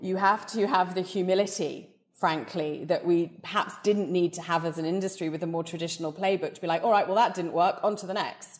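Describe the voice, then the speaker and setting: This woman talks at a fairly quick pace, her medium pitch following a fairly even intonation. Noticeable background noise is present. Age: 40s. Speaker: beauty company CEO. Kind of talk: interview.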